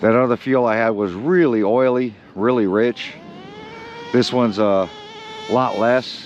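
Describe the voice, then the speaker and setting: A man speaks at a fairly slow pace and medium pitch, with ordinary pitch variation and very even loudness. Long, frequent pauses break his speech over noticeable background noise. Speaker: RC hobby vlogger. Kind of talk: casual hobby vlog.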